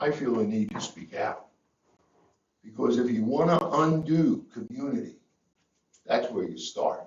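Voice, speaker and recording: Long, frequent pauses break up a man's fairly slow speech. The room echo is audible. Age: 80s+. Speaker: public commenter. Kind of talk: public comment at council meeting.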